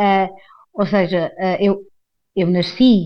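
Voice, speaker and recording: The speaker is a woman. Her voice is pitched at a medium level. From Portugal, Carcavelos near Lisbon. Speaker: actress. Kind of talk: casual monologue. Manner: hesitant, many fillers.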